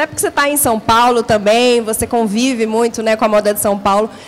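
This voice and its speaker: A woman speaks with fairly high pitch. Music plays in the background. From Brasília, Brazil. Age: 40s. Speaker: panel moderator. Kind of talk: panel discussion.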